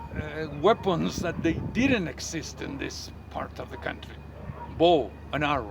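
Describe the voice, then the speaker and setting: A man speaks at a fairly slow pace with very wide pitch swings over noticeable background noise. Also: medium pitch for a man, big swings in loudness. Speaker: tour guide and history teacher. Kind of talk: tour guide narration, casual talk to camera. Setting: outdoors at sunrise. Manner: passionate, conversational.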